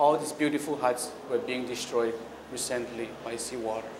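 Over noticeable background noise, a man with a Micronesian accent speaks in a medium pitch with monotone, flat intonation. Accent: Micronesian Pacific Islander English. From Kiribati and Pohnpei, Micronesia. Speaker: climate activist. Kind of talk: public speech. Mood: earnest, urgent. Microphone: camera far.

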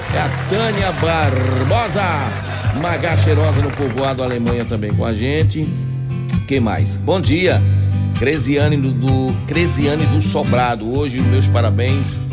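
A man at a fairly slow pace over loud background music. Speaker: radio host. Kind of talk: radio morning show chat, reading listener messages. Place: studio.

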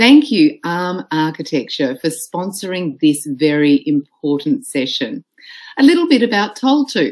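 A woman's fairly low voice with an Australian accent, fairly slow in pace, swinging very widely in pitch. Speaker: conference MC. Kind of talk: event announcements. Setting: online conference.

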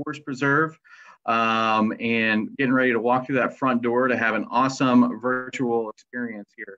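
In a plain, everyday voice, a man speaks at a moderate pace. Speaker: museum programs coordinator. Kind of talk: guided virtual tour. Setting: live stream from home. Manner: casual, filler-heavy.

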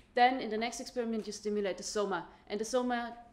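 A woman speaks at a very fast pace in a fairly high pitch. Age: young. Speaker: physics PhD student; presenter. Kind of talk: conference talk. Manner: hesitant, many fillers. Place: hall.

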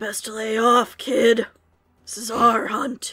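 Putting on a raspy character voice, a woman speaks at a fairly high pitch and a very slow pace. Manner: gruff, warning.

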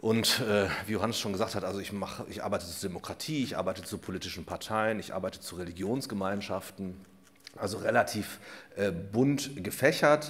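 Fairly quick pace and ordinary pitch variation from a man with a fairly low pitch. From Germany. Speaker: law professor. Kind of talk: lecture. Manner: many filler sounds (ähm, äh). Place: hall.

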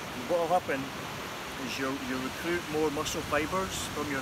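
A man's voice sounds dry with no echo beneath loud background noise. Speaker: boxing trainer. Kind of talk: tutorial. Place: beach.

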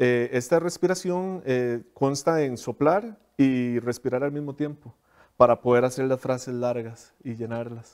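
Over a quiet background, a man talks at a fairly slow pace with ordinary pitch variation. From Costa Rica, southern region. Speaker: principal oboist. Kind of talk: interview. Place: studio. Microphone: lapel.

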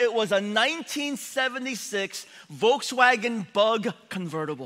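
Against a quiet background, a raised, projected voice with a bright, sharp tone shows ordinary pitch variation. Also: man. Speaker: preacher. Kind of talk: sermon. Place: church.

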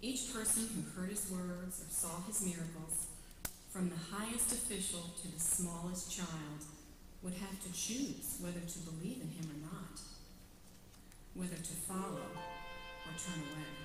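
Over noticeable background noise and with audible room echo, a woman speaks fairly slowly with long, frequent pauses and ordinary pitch variation. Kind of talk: dramatic narration. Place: church.

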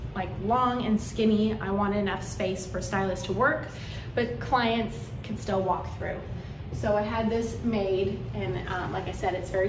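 Noticeable background noise runs under speech delivered at a fairly slow pace. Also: woman. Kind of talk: casual tour guide chat. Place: shop. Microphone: phone near.

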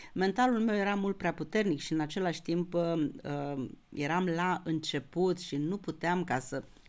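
A woman with a fairly low pitch and lively intonation, at a moderate pace. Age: 60s. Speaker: astrologer. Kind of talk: astrology lecture video; casual vlog chat. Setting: YouTube video recording. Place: home room.

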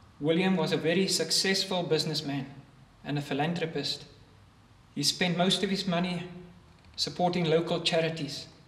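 A man with a high pitch speaks in monotone, flat intonation. He leaves long, frequent pauses, and room echo is audible. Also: moderate pace. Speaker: minister at a funeral. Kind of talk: funeral eulogy. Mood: solemn, gentle. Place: church. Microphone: podium.

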